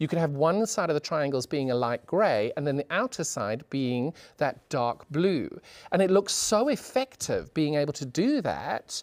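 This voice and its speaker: Someone speaks with a British accent in a very clean recording with a silent background. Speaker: sewing demonstrator. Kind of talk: tutorial. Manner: animated; fast.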